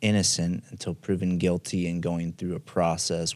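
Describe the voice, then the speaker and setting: A very deep, low male voice at a fairly slow pace with ordinary pitch variation, in a very clean recording over a silent background. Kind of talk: interviewer.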